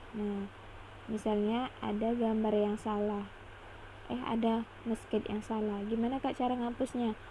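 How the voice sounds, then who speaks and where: This woman has a dark, mellow, somewhat breathy tone at a fairly high pitch. Her delivery is monotone and flat, at a fairly slow pace. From Indonesia, Pontianak (West Kalimantan). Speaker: drawing tutorial creator. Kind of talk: tutorial. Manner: halting.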